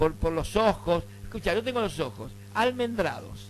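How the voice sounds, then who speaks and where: Music plays behind a man with a Rioplatense accent. His intonation is lively. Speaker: radio host. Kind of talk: casual radio chat with anecdotes. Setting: radio studio. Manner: animated.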